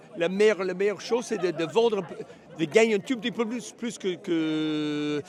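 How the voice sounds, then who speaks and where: A man speaks with an English accent. His pace is fairly slow, with ordinary pitch variation. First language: English (speaking French). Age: 60s. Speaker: horse auctioneer. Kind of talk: interview. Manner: halting, searching for words.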